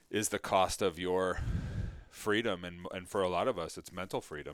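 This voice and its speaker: This man has an American accent and a very deep, low pitch. His intonation stays fairly even. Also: very clean recording, silent background. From New York area (Mamaroneck). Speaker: thyroid cancer survivor. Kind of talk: interview testimony.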